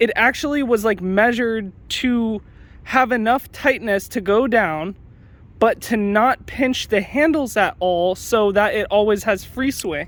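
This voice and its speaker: A man talks at a fairly slow pace with a high pitch. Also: ordinary pitch variation. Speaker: knife hobbyist youtuber. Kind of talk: product review tutorial. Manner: casual, hesitant with many fillers.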